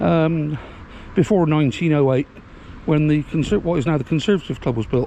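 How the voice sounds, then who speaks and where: A man's voice with noticeable background noise. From England, Bristol. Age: 60s. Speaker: local video blogger. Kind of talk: walking tour commentary. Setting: outdoors, walking. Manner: casual, hesitant with fillers.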